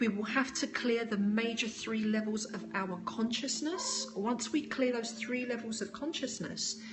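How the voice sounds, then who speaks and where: With a fairly high pitch and fairly even intonation, a woman speaks at a fairly slow pace with hardly any pauses, amid noticeable background noise and audible room echo. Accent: British. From United Kingdom. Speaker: spiritual teacher. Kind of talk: live stream talk with viewer questions.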